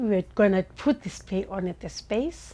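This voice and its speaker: On a very clean recording with a silent background, a woman with a South African accent talks at a medium pitch with ordinary pitch variation. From Langa, Cape Town, South Africa. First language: Xhosa. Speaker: playwright. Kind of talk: interview answer.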